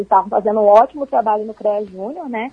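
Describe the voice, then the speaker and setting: A woman talks at a fairly high pitch, her voice somewhat breathy. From Brazil, Rio de Janeiro. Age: 20s. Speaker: food engineering student. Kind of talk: radio interview. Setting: phone call. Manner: animated.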